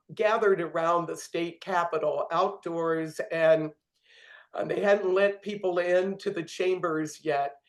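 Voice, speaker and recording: At a very slow pace, a woman talks at a medium pitch with fairly even intonation. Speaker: pagan priestess and ritualist. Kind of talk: interview.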